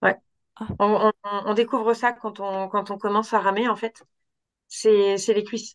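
Over a quiet background, a woman speaks at a fairly slow pace in a fairly high, monotone, flat voice. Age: 40s. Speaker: doctor. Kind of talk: interview. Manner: halting.

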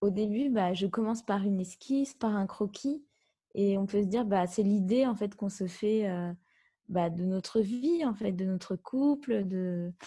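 In a very clean recording with a silent background, a woman talks at a fairly slow pace with a medium pitch and a somewhat breathy, dark, mellow tone. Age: 30s. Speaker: wedding dress designer. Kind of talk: interview.

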